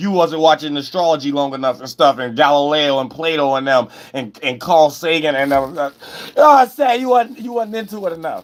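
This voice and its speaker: His pitch sits fairly high for a man. The man's intonation is lively. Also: fairly quick pace. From US, inner city. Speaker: astrology content creator. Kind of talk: casual monologue. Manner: fast; animated.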